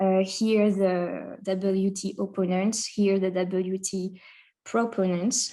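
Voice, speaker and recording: Her tone dark and mellow, a woman at medium pitch speaks in a French accent with monotone, flat intonation. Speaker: conference presenter, researcher. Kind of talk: academic conference presentation. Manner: hesitant, many fillers.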